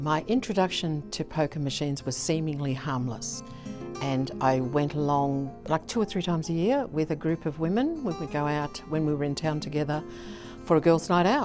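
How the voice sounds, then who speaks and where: With an Australian accent and a very deep, low pitch, a woman speaks over music in the background. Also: ordinary pitch variation, moderate pace. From Melbourne, Australia. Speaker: retired businesswoman, gambling harm lived experience advocate. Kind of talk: interview answer.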